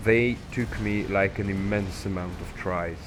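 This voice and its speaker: A man speaks in a fairly low voice with a non-native accent. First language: not English. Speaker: gaming YouTuber. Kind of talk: casual gameplay commentary. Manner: halting, rambling with fillers.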